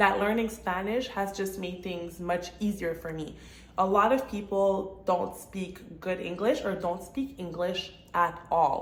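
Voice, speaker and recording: A woman with a Quebec accent, ordinary pitch variation and audible room echo. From Montreal, Quebec, Canada. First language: French. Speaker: real estate agent and vlogger. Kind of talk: casual vlog monologue.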